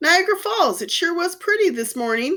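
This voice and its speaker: In a put-on character voice, a woman squeaks at an extremely high pitch, swinging very widely up and down at a fairly quick pace. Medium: read story.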